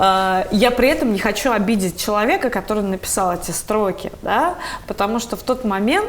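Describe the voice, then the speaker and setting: With noticeable background noise around her, a woman speaks at a moderate pace in a fairly high pitch with ordinary pitch variation. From Buryatia, Ulan-Ude. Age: 30s. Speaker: theatre director. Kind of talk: interview conversation. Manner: halting, many filler sounds.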